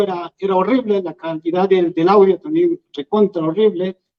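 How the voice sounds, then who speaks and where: Moderate-paced speech in an Andean accent. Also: man. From Peru, Huancavelica. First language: Quechua (speaking Spanish). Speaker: YouTuber and Quechua teacher. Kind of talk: public talk. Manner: hesitant, many fillers.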